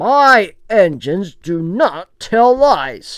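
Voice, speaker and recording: A female-sounding put-on character voice, fairly high in pitch, raised and projected, at a very slow pace. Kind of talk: pompous, authoritative. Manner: stern.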